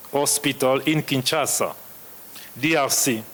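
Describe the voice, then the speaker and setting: A man's monotone, flat delivery in a French accent, with noticeable background noise. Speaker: session chair. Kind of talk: conference session chairing. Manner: halting.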